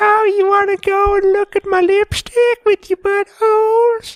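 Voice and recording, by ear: A put-on, female-sounding character voice in a Deep South US accent, extremely high-pitched, monotone and flat, at a moderate pace. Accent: deep south American.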